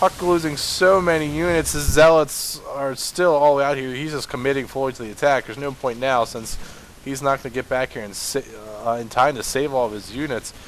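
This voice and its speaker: Over noticeable background noise, a man talks at a fairly quick pace in a fairly high voice. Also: big swings in loudness. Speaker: game commentator. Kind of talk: live commentary. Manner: monotone.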